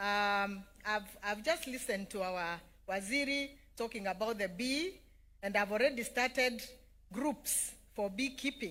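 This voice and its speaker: A woman with a Kenyan accent speaks in a bright, sharp tone at a fairly high pitch, with ordinary pitch variation. Her pace is fairly slow, with long, frequent pauses. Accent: Kenyan (Meru) English. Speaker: politician. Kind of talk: public speech.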